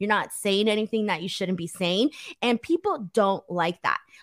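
Recorded very cleanly over a silent background, dry and close with no echo, a woman with an American accent talks at a moderate pace in a fairly high voice. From United States, Mexican heritage. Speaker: wrestling YouTuber and co-host. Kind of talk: casual chat.

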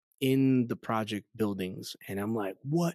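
A man in a New York accent speaks with lively intonation in a very clean recording with a silent background and a dry, close sound with no echo. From New York City (Queens, Astoria). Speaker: pastor. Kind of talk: testimony interview. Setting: in-person interview.

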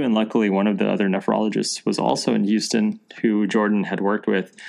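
A man's normal speaking voice at a fairly low pitch, fairly quick in pace, with fairly even intonation. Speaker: podcast host. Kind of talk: casual chat. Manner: casual, friendly.

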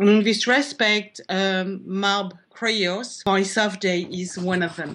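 This woman speaks with a French accent at a medium pitch. Her pace is very slow, yet she hardly pauses at all. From France. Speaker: art critic and curator. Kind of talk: panel discussion.

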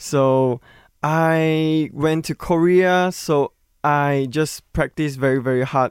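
A man with a Chinese accent speaks at a very slow pace and a fairly high pitch, with fairly even intonation and very even loudness. The recording is very clean with a silent background and a dry, close sound with no echo. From Malaysia, Sabah (Kota Kinabalu). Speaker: K-pop singer. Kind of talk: casual interview. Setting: studio. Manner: halting.

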